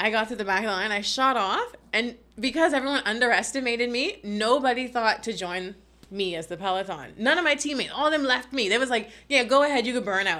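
Very fast speech in a bright, sharp tone with a Bahamian accent. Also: woman. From Bahamas. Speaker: marine conservationist and science communicator. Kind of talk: casual interview chat.

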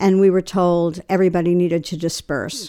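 A woman's fairly low voice with an American accent, dark, mellow tone and monotone, flat intonation. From New York, Long Island. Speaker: eyewitness to historic shooting. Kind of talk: interview testimony.

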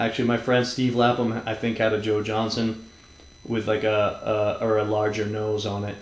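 Someone with an American accent talks at a moderate pace over noticeable background noise, with audible echo from the room. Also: man. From Massachusetts (Newburyport). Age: 30s. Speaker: podcast host and skateboarder. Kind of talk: casual chat. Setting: at a friend's home.

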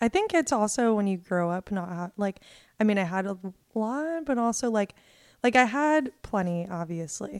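Using a normal speaking voice with an American accent, a woman at medium pitch talks at a moderate pace with lively intonation, in a dry, close sound with no echo on a very clean recording with a silent background. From Ohio, US. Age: 20s. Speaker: stand-up comedian. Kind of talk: casual chat.

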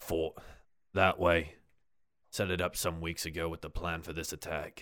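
In a put-on character voice, a man speaks raspy, very deep and low, in a monotone, flat delivery at a moderate pace on a very clean recording with a silent background. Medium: actual play. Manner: clipped, terse, halting fragments.

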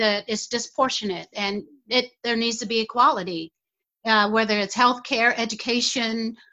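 A woman with an American accent talks in a plain, everyday voice, fairly high in pitch, with fairly even intonation and a moderate pace. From United States. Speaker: community activist. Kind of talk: interview.

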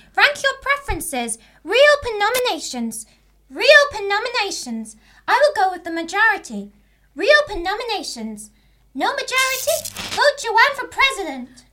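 A put-on character voice, female-sounding and extremely high in pitch, at a moderate pace. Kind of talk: comic student radio play. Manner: malfunctioning, shutting down; stiff, mechanical, repetitive.

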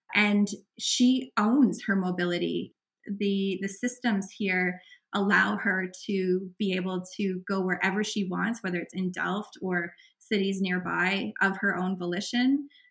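With a Canadian accent, a woman speaks in an ordinary speaking voice at a fairly slow pace. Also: medium pitch for a woman. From Canada. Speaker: author and cycling advocate. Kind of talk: interview.

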